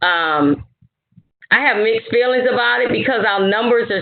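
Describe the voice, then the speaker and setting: An unremarkable speaking voice with an American accent and lively intonation. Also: woman. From Louisiana, US South. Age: 50s. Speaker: retired army officer. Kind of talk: educational talk, Q&A.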